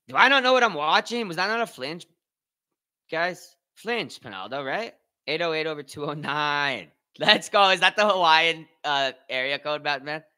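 A man's fairly high, bright, sharp voice, animated and with lively intonation, at a fairly slow pace over a quiet background. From Canada. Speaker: streamer. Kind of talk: casual chat. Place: home room. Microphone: studio mic.

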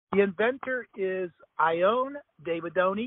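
A speaker with an American accent. The pitch varies in an ordinary way. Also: man. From Ohio. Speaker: agricultural product promoter. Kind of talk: sales pitch. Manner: animated.

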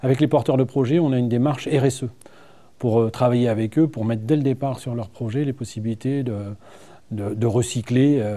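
With a dark, mellow tone, a man speaks at a moderate pace and fairly even intonation. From northern France, Seine-Maritime (Normandy); Normandy, France. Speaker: director of a regional tourism agency; guest. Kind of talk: TV studio interview. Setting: TV studio. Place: studio. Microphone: lapel.

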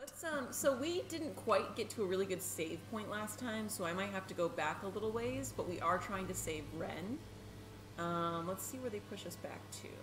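Over noticeable background noise, a woman speaks at a moderate speed. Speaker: gaming streamer. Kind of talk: casual gaming intro and commentary. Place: home room.

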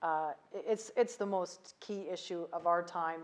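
Her voice, fairly low in pitch, comes with a Canadian accent. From Canada. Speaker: ambassador; interviewee. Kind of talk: interview. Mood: calm, measured, some laughing. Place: home room. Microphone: lapel.

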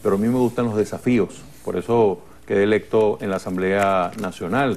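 This man's voice sits fairly low in pitch. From Venezuela, Lara state. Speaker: politician. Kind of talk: TV interview. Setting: TV studio. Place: studio.

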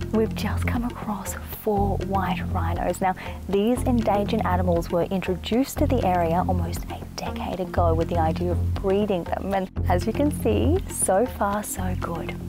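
A woman speaks at a moderate pace with clear music in the background. The sound is dry, with no echo. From Australia. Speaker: TV host. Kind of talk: travel show presenting to camera. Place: open country. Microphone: lapel.

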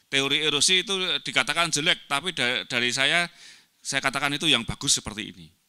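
A man's bright, sharp voice moves with lively intonation over a quiet background. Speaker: agriculture professor; presenter. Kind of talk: academic presentation. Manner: halting, many fillers. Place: hall. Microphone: handheld.

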